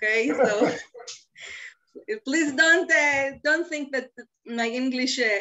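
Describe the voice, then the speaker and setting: Long, frequent pauses break up a woman's very slow speech. She has an Israeli accent and a high pitch. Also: ordinary pitch variation. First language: Hebrew. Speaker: environmental lobbyist. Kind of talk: webinar interview. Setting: video call from home.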